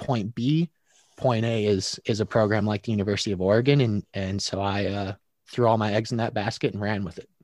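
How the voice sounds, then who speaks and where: Against a quiet background, a man with an unremarkable speaking voice and fairly low pitch talks at a moderate pace with fairly even intonation, the sound dry and close with no echo. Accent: American. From Michigan. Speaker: podcast host and sports professional. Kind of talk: casual interview.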